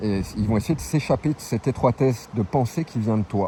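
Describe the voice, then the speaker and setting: A man's mid-range voice comes through noticeable noise in the background. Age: 40s. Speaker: travelling vlogger. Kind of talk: opinion monologue. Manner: casual, hesitant with repetitions.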